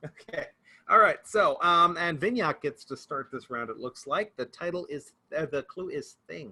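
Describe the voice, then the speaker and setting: A man with an American accent at a moderate pace, his loudness swinging widely. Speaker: game show host at a tech conference. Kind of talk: hosting an online quiz game.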